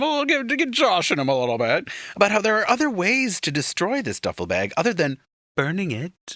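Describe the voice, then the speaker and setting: Vocal fry and very wide pitch swings mark this bright, sharp voice with an American accent. The pace is moderate, in a very clean recording with a silent background. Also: man. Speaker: podcast host. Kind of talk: casual chat.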